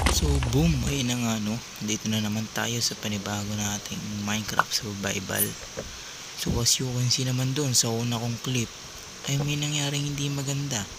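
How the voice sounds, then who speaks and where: There is noticeable background noise and audible room echo. The man speaking shows ordinary pitch variation. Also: medium pitch for a man, moderate pace. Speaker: gaming youtuber. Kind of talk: gameplay voice-over commentary. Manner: casual, filler-heavy.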